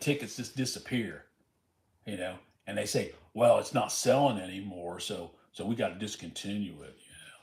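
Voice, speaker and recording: With an American accent, a man talks at a fairly quick pace, somewhat breathy, with ordinary pitch variation. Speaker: lottery scratch-off streamer. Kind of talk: casual livestream chat. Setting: livestream, reading chat.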